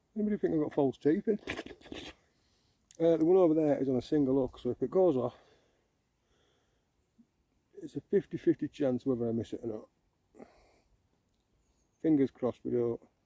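Against a quiet background, the dry sound with no echo carries speech at a moderate pace broken by long, frequent pauses. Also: man. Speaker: angler vlogger. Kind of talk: casual vlog chat. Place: waterside. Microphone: phone near.

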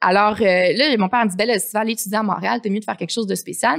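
A woman talks at a very fast pace with a fairly high pitch and vocal fry. Her pitch variation is ordinary, and the background is quiet. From Quebec City; Quebec. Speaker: coffee entrepreneur; guest. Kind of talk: casual interview. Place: studio. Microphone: studio mic.

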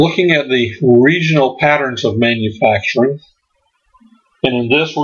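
A man at a medium pitch speaks in an unremarkable speaking voice with ordinary pitch variation. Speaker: history presenter. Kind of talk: lecture. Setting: stage with audience. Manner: uses frequent filler words.

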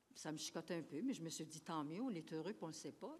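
This woman's fairly low voice moves through very wide pitch swings. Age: 80s+. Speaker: senior citizen speaking at public consultation. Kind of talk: public consultation testimony. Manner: halting. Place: hall. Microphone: podium.

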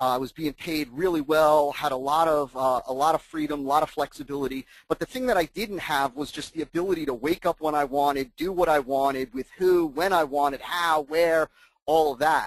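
A man with an American accent and a plain, everyday voice talks at a fairly quick pace in a fairly high pitch, with ordinary pitch variation and a dry, close sound with no echo. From US Northeast (New Jersey). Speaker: marketing consultant. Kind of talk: webinar presentation. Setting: webinar call with screen share.

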